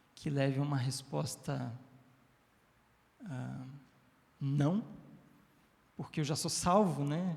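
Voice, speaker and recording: A man's fairly high voice, fairly slow and fairly even in intonation, with audible room echo. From Brazil, Curitiba, family from Florianópolis. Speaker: preacher. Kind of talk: sermon. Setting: church. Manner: halting.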